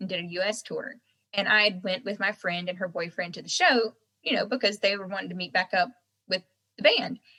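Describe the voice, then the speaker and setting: This woman has a bright, sharp tone, a medium pitch, ordinary pitch variation and an American accent. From North Carolina, US South. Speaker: singer-songwriter. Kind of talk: interview.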